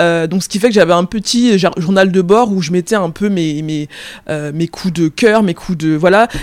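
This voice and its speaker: A woman talks at a fairly slow pace. Her fairly low pitch shows ordinary variation. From France, Paris suburbs, of Cameroonian parents. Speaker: freelance journalist. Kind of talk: interview conversation. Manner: hesitant, many fillers.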